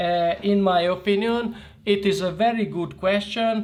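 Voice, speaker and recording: A high-pitched man with a Hungarian accent at a very slow pace, fairly even intonation, audible room echo and noticeable background noise. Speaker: art tutor. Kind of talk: tutorial. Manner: halting.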